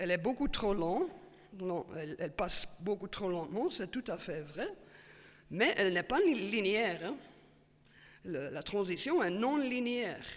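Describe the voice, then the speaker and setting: A woman at a medium pitch, speaking at a fairly slow pace with long, frequent pauses and lively intonation. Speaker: paleoclimatologist, professor. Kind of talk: Q&A after a talk. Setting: stage with audience. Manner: halting, many fillers and repetitions.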